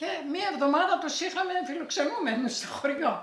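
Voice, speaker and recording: Amid noticeable background noise, a woman talks with lively intonation. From Greece, Thessaly (Elassona area). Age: 80s+. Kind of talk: oral history interview answer.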